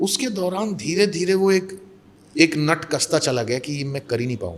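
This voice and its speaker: This man speaks at a high pitch, his intonation lively. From India, Mumbai. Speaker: mimicry artist and actor. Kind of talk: interview conversation.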